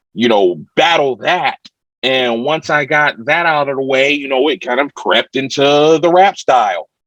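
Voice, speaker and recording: This man has an American accent and a fairly high pitch. He speaks at a moderate pace with ordinary pitch variation. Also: dry, close sound with no echo. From Ohio, Youngstown. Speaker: rapper. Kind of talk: interview. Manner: over-enunciates words.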